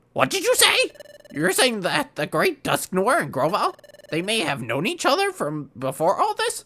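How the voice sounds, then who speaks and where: Using a put-on character voice, a man speaks at a moderate pace with a high pitch. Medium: solo performance. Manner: varied acted delivery.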